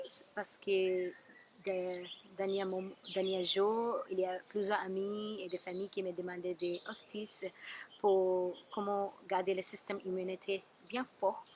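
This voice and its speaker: Speaking at a very slow pace with a strong non-native accent, a woman keeps a medium pitch and monotone, flat intonation, with big swings in loudness. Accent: strong foreign. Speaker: Ayurveda therapist. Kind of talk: wellness tips talk to camera.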